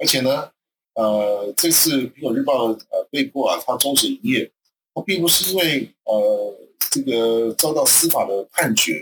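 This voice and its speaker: Fairly slow speech from a man, dry and close-sounding with no echo. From Taiwan. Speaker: university associate professor. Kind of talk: radio talk show discussion. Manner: halting, many fillers.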